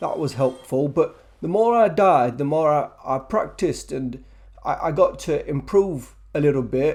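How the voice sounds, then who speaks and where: A dark, mellow tone in a British accent, at a moderate pace. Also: man. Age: 70s. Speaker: gamer. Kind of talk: casual talk to camera. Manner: hesitant, stammering.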